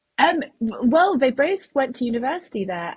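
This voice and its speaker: A woman speaks with a British accent. Her voice is somewhat breathy. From England (moved from Uzbekistan at ten). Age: 30s. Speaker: soldier and trainee nurse, ultrarunner. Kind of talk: podcast interview.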